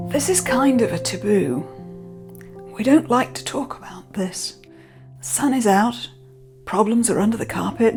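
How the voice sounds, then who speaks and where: A woman speaks at a fairly slow pace. Music plays behind her. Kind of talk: casual talk to camera.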